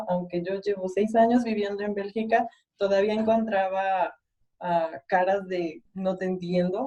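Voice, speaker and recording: A woman speaks in a dark, mellow tone at medium pitch. Her pace is fairly slow and her intonation fairly even. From Mexico. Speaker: mechanical engineer. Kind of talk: panel discussion.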